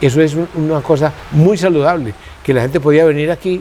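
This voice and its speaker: The speaker keeps a fairly quick pace and ordinary pitch variation against noticeable background noise. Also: man. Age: 70s. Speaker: botanical garden founder. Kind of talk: interview. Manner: halting.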